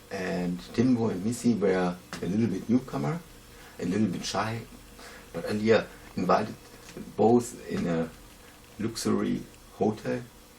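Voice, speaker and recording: Long, frequent pauses break up a man's moderate pace as he speaks with a non-native accent at a fairly low pitch. Noticeable background noise runs underneath. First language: not English. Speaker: YouTuber. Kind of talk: reading aloud. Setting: outdoors. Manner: halting.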